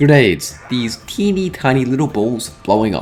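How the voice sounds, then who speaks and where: Music in the background under a man of medium pitch talking at a fairly slow pace. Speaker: gaming youtuber. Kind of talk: video essay narration.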